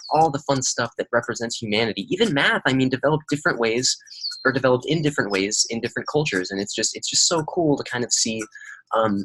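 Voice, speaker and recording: Speaking at a very fast pace, a man with a medium pitch and ordinary pitch variation comes through in a dry, close sound with no echo. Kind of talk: gameplay tutorial commentary. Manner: casual, with fillers.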